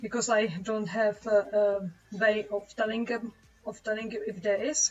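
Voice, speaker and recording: A woman at a fairly high pitch, with music in the background. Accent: Czech. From Czech Republic. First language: Czech. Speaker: webcomic artist streamer. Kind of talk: live stream chat while drawing. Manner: halting, many fillers.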